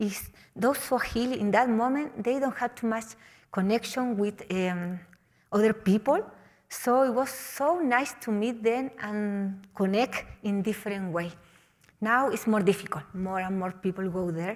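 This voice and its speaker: A woman talks at a fairly slow pace in a Chilean accent. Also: fairly high pitch for a woman, ordinary pitch variation. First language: Spanish. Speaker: mountaineer. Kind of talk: motivational talk. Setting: stage with audience. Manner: halting.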